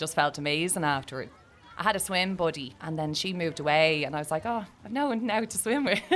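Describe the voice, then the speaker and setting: A woman with a Dublin accent, fairly low in pitch, lively in intonation and very fast in pace. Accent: Dublin Irish. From Ireland, Dublin (Tallaght). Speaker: sea swimmer. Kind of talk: interview.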